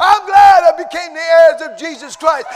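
A man shouts at an extremely high pitch with ordinary pitch variation. Crowd noise fills the background. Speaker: preacher. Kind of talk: sermon. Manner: animated.

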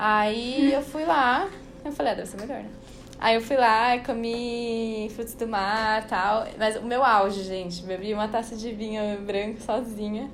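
Someone speaks at a fairly slow pace with fairly even intonation, and audible room echo is present. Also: woman, fairly high pitch for a woman. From Brazil, São Paulo. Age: young. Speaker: podcast guest, traveler. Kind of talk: casual chat.

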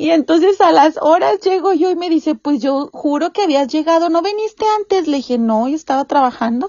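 A woman with a Mexican accent, extremely high pitch and a fairly quick pace. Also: lively intonation, hardly any pauses. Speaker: podcast host. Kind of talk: casual chat.

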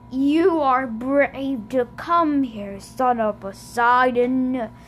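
Over clear background noise, a woman does a high-pitched, put-on character voice at a very slow pace. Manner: menacing, charismatic.

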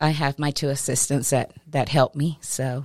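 A woman speaks at a moderate pace with an American accent, her pitch very deep and low. The recording is very clean, with a silent background. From West Texas (Lamesa). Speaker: fleet and operations manager. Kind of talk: interview. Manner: hesitant, many fillers.

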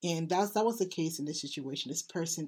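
A woman is speaking. Her pitch sits fairly low. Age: 30s. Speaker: spiritual healing podcast host. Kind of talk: casual monologue. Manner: halting, with repeated words.

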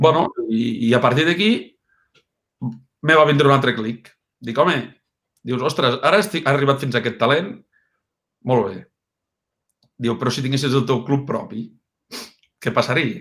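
A man with a fairly high pitch, an energetic, animated tone and ordinary pitch variation, at a moderate pace broken by long, frequent pauses. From Catalonia, Lleida area (Mollerussa). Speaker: football agent. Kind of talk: interview conversation.

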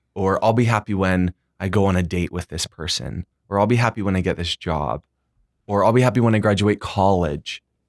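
The recording is very clean, dry and close, with a silent background and no echo. A man speaks fairly quickly in a plain, everyday voice, his pitch fairly low with ordinary variation. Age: 20s. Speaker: student body president. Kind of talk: casual chat.

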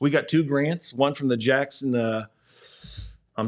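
On a very clean recording with a silent background, a man with an ordinary speaking voice talks at a moderate pace in a fairly high pitch. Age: 50s. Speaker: youth sports program director. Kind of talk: casual chat.

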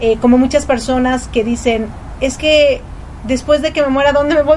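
A woman's high-pitched voice at a moderate pace, with ordinary pitch variation and noticeable background noise. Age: 40s. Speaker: radio host, mother. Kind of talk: casual radio talk. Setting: home studio.

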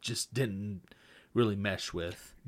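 A man speaks in a fairly low pitch with a bright, sharp tone. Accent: American. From Texas Panhandle, Amarillo area. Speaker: podcast host, actor and editor. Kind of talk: casual chat.

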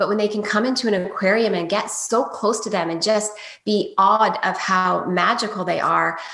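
A woman with an American accent talks at a moderate pace in a fairly high pitch. Noticeable background noise sits behind her. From US Maryland. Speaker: dog trainer. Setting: video call.

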